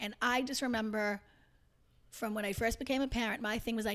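With a normal speaking voice, a woman talks at a fairly quick pace and a fairly high pitch, keeping her intonation fairly even. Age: 50s. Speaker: mother of the hosts. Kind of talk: casual chat.

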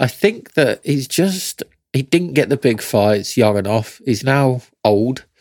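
A man with a British accent at a very slow pace, medium pitch and lively intonation, his loudness very even, in a dry, close recording with no echo. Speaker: boxing podcast co-host. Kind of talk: casual banter and review chat.

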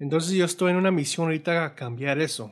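Against a silent background in a very clean recording, a man speaks with fairly even intonation. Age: 40s. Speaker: guitarist and music producer. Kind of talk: casual interview. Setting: home studio. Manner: halting, many repetitions and fillers.

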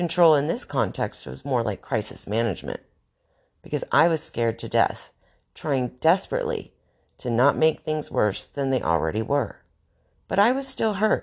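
A woman's very deep, low voice with vocal fry and very wide pitch swings. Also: moderate pace, quiet background. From US South, North Carolina. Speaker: podcast host. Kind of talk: monologue.

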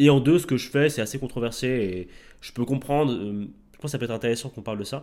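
Speaking at a very fast pace, a man with a dark, mellow tone and medium pitch shows ordinary pitch variation and big swings in loudness. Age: 20s. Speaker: fitness coach. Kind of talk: podcast interview. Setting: in person, recorded while travelling.

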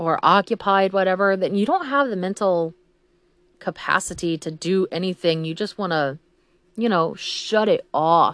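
A woman speaks with an American accent. Her medium pitch shows ordinary variation. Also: quiet background. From Texas, small country towns. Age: 30s. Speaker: podcaster, mother. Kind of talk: casual monologue. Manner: rambling, hesitant with many ums.

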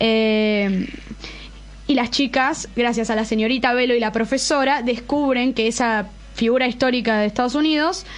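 A woman's high voice in an Argentine accent, moderate in pace, with very even loudness and fairly even intonation. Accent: Argentine Spanish (Rioplatense). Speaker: YouTuber who reviews series, films and comics. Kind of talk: casual chat. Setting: studio.

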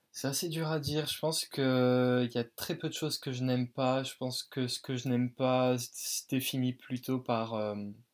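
In a very clean recording with a silent background, a man uses a normal speaking voice at medium pitch and a moderate pace, with fairly even intonation and hardly any pauses. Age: 20s. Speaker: dance student. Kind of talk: casual interview.

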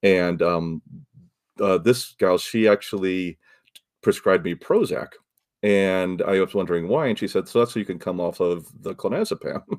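A man with an American accent uses an ordinary speaking voice at a fairly low pitch. He keeps a moderate pace with ordinary pitch variation. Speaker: podcaster and author. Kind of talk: interview.

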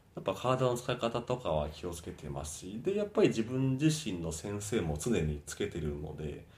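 A man at a fairly low pitch with very wide pitch swings, at a moderate pace with hardly any pauses. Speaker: fitness instructor. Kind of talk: interview. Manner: halting.

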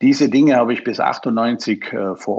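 At a very slow pace, a man talks at medium pitch. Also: dry, close sound with no echo. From Austria. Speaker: IT expert, former hotelier. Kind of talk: podcast interview. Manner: halting, many fillers.

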